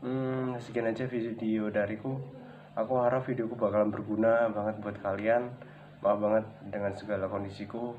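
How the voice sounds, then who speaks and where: Over audible room echo, a man talks at a medium pitch with monotone, flat intonation. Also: moderate pace. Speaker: vlogger, ornamental fish seller. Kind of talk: tutorial. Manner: casual, hesitant with fillers.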